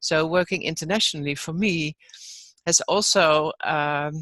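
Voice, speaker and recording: A woman's bright, sharp voice in a dry, close sound with no echo. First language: not English. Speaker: online course facilitator. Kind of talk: webinar discussion.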